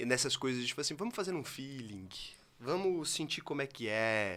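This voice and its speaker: A man speaks at a very fast pace. His tone is animated, bright and sharp. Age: 20s. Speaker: digital marketing entrepreneur. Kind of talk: interview conversation. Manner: fast, speeds up when excited.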